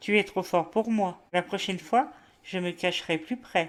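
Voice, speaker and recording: A put-on character voice is used here. Its pace stays moderate. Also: woman, medium pitch for a woman. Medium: read story.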